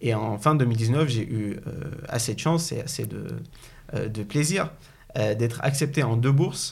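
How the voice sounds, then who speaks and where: The voice moves at a very slow pace with long, frequent pauses and vocal fry. Pitch varies in an ordinary way, and room echo can be heard. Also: man, medium pitch for a man. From Syria. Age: 20s. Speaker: business school student. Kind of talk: interview. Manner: halting.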